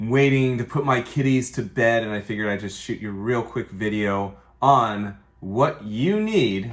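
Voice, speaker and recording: A man in a normal speaking voice talks at a moderate pace and medium pitch with ordinary pitch variation, on a very clean recording with a silent background. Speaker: mortgage lender. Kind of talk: tutorial. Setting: office. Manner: casual.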